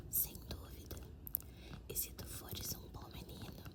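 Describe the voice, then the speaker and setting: A calm whisper at a fairly slow pace, with noticeable background noise. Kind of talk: ASMR story reading. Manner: whispered; soft-spoken, calm.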